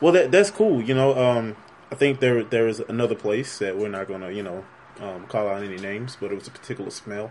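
A man with an American accent talks at a fairly quick pace amid noticeable background noise. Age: 20s. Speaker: podcast interviewer. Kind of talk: casual interview.

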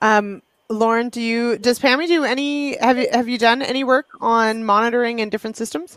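Here a woman speaks with a Canadian accent in a plain, everyday voice. Her pitch is fairly high, with ordinary pitch variation. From western Canada. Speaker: agriculture show host. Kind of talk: casual chat.

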